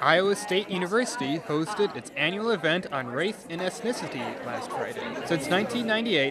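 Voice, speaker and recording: Over crowd noise in the background, the voice moves at a fairly quick pace with very wide pitch swings. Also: man. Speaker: student TV reporter and anchor. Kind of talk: TV news report.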